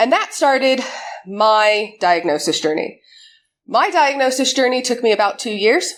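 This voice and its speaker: In a very clean recording with a silent background, a woman speaks at a moderate pace. Her high pitch moves in very wide swings. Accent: American. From United States. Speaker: conference speaker, cyber security community organizer. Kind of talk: conference talk.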